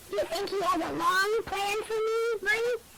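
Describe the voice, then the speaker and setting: A squeaky, put-on character voice at an extremely high pitch moves at a moderate pace against light background noise. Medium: audio drama. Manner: mumbling.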